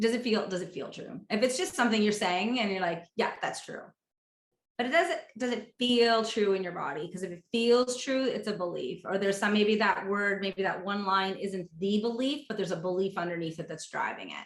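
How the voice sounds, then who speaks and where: Using a normal speaking voice, a woman talks at a fairly quick pace with medium pitch and ordinary pitch variation. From East Coast of Canada. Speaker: money mindset coach. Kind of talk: interview.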